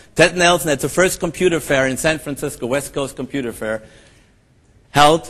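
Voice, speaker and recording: A man speaks at a moderate pace in a German accent. His pitch varies in an ordinary way. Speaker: professor and conference moderator. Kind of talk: conference keynote introduction. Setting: stage with audience. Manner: hesitant, many fillers.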